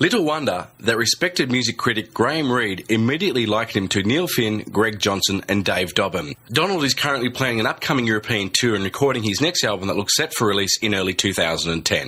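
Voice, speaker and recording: Talk comes at a very fast pace with hardly any pauses, lively intonation and very even loudness, with noticeable background noise. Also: man, medium pitch for a man. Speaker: radio host. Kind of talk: radio intro read.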